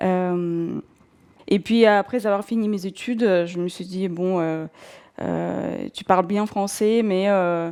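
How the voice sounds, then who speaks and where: A woman with a dark, mellow tone speaks at a very slow pace with fairly even intonation on a very clean recording with a silent background. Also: medium pitch for a woman. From southern Russia, North Caucasus. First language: Russian (speaking French). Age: 40s. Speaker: career changer, bookshop owner. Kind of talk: personal testimony. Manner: hesitant, many fillers.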